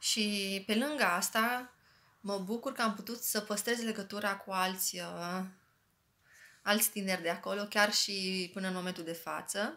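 This woman's voice has a bright, sharp tone, fairly even intonation and a fairly slow pace. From Romania, Arad county and Bacău; Romania. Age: 30s. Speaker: human resources specialist, former youth center member. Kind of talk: testimony. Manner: casual, friendly. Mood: warm, grateful. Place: home room. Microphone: phone near.

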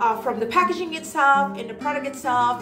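Over clear music in the background, a woman speaks with ordinary pitch variation. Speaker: product reviewer. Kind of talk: casual product review vlog. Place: home room. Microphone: phone near.

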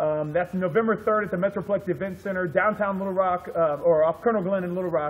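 Speaking at a very fast pace with hardly any pauses, a man uses a high pitch and fairly even intonation. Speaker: MMA promoter interviewer. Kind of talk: casual interview host talk. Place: gym. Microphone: camera far.

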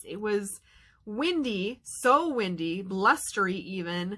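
A woman speaks with lively intonation. The background is quiet. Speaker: vlogger. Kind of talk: casual vlog chat. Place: home room. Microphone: webcam.

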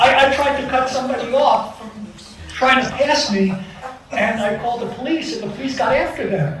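With audible room echo and noticeable background noise, a man with an extremely high pitch talks at a moderate pace with lively intonation. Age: 70s. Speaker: resident speaking at public hearing. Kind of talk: public comment at town meeting.

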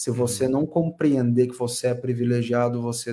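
The tone is dark and mellow. The pace is moderate. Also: man. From interior of São Paulo state, Brazil (Assis); São Paulo state, Brazil. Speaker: esports caster; interviewee. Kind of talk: casual interview. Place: home room.

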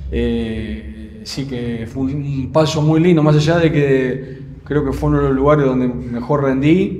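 This man, speaking with an Argentine accent, talks at a fairly slow pace with hardly any pauses, ordinary pitch variation and audible room echo. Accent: Rioplatense Argentine Spanish. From Buenos Aires area, Argentina. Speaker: football coach, former goalkeeper; football coach. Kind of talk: interview. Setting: club gym. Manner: halting, frequent repetitions. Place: gym.

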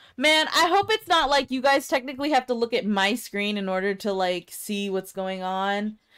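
A woman's fairly high voice in an American accent, animated and lively in intonation, at a moderate pace with hardly any pauses. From Kansas. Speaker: gaming streamer. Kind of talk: casual chat. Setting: live stream with voice chat.

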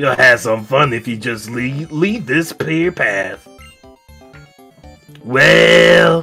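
A man's booming, drawling put-on character voice, with faint music in the background. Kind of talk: comic overacting. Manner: folksy, blustering, mock-threatening.

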